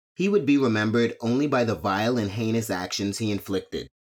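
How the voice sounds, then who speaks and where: Speaking at a fairly quick pace, a man uses an ordinary speaking voice at a medium pitch. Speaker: podcast host, true crime narrator. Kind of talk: true-crime narration, scripted and read aloud. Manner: grave, measured, somber storytelling; formal, steady.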